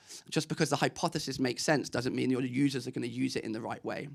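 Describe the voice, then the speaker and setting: A man at a fairly high pitch, with an English accent and vocal fry, at a very fast pace. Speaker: ecommerce marketing speaker. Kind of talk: conference talk. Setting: stage with audience.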